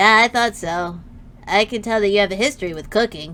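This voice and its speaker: A put-on character voice, female-sounding, at a medium pitch for a woman, with a fairly quick pace and clear background noise. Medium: virtual streamer. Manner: hesitant, awkward.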